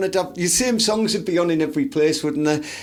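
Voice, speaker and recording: A man talks at a fairly quick pace in a high pitch. Noticeable background noise sits behind him. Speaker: podcast guest. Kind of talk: casual podcast chat.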